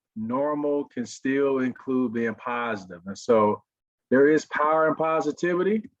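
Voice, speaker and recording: Against a quiet background, a man with an Arkansas accent speaks at a fairly slow pace. His pitch is fairly high, with ordinary pitch variation. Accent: Southern (Arkansas). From US South, Pine Bluff, Arkansas. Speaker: motivational speaker, former pro football player. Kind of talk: webinar talk.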